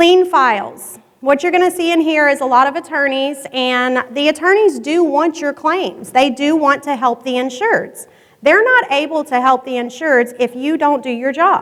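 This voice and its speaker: High pitch for a woman, with ordinary pitch variation. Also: moderate pace. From Louisiana. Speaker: public insurance adjuster. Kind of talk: conference presentation.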